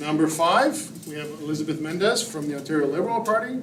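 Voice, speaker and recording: A man's high-pitched voice at a fairly quick pace, with ordinary pitch variation, noticeable background noise and audible room echo. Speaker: debate moderator. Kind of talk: public meeting moderation. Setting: community hall with audience, live stream.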